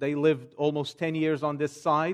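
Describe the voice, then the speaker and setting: A man speaks with a Portuguese accent at a fairly slow pace. His pitch is fairly high, and the background is quiet. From Portugal. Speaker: pastor. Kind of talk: sermon; church announcements and prayer requests.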